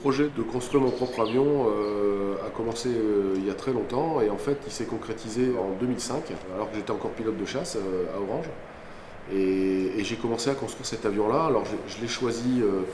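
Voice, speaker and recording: Amid noticeable background noise and audible room echo, a man speaks at medium pitch and a moderate pace. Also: ordinary pitch variation. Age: 50s. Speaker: airline pilot, former fighter pilot. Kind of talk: documentary interview. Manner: hesitant, many fillers.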